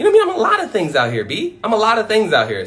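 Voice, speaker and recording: With an animated tone, a man speaks at a very fast pace amid audible room echo and noticeable background noise. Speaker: motivational speaker. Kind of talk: livestream monologue. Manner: loud.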